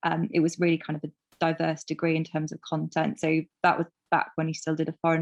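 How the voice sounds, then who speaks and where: A woman with a Welsh accent talks at a very fast pace in a fairly low pitch and monotone, flat intonation, with a quiet background and a dry, close sound with no echo. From Wales, Carmarthenshire. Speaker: farm business consultant. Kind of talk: interview.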